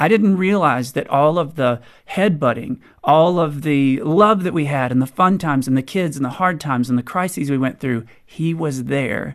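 A man speaks in an unremarkable speaking voice, fairly high in pitch with ordinary pitch variation. His pace is moderate against a quiet background. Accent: American. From US South. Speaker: author. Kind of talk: interview.

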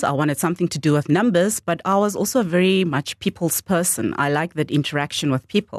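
A woman with a fairly low pitch speaks very fast with hardly any pauses, in a dry, close sound with no echo. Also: quiet background. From Namibia, Swakopmund (Mondesa township). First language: Damara-Nama. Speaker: investment company CEO. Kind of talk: radio interview. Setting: radio studio.

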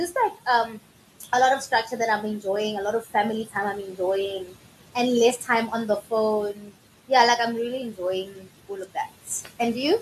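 A woman at a moderate pace with fairly even intonation and long, frequent pauses, against noticeable background noise. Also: fairly high pitch for a woman. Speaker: podcast co-host. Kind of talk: casual chat. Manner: subdued, low energy.

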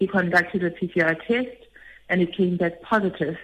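Moderate pace and fairly even intonation in a woman's medium-pitched, a normal speaking voice. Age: 30s. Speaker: nurse and HIV activist. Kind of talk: testimony.

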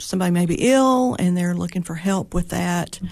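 In a Tennessee accent, a woman speaks at a medium pitch against a quiet background. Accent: Southern US (Tennessee). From Tennessee, Putnam County (Monterey). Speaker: funeral home owner. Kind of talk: interview.

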